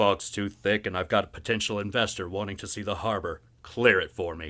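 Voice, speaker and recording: A man bellows in a put-on character voice, fairly low-pitched and fairly quick, with fairly even intonation but big swings in loudness. The recording is very clean, with a silent background. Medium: read story. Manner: gruff, bossy.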